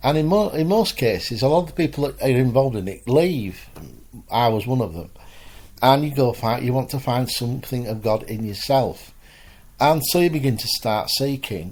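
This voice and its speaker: Lively intonation runs through an ordinary speaking voice. The pace is moderate. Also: man, medium pitch for a man. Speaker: spiritualist minister. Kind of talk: spoken sermon talk.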